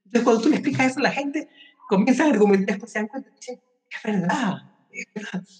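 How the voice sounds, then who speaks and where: An animated tone at a very fast pace, with ordinary pitch variation. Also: man, extremely high pitch for a man. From Ecuador. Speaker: life coach. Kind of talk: interview.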